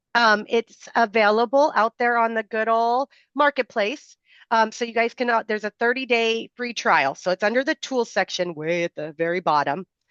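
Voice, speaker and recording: An unremarkable speaking voice with lively intonation at a moderate pace, dry and close with no echo, against a quiet background. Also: woman, fairly high pitch for a woman. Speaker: software product presenter. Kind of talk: product demo on video call. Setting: video call with screen share. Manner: filler-heavy, casual.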